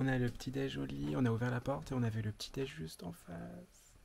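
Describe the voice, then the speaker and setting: A soft-spoken man's somewhat breathy voice with a dark, mellow tone, in a very clean recording with a silent background. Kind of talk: casual vlog to camera. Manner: speaking softly.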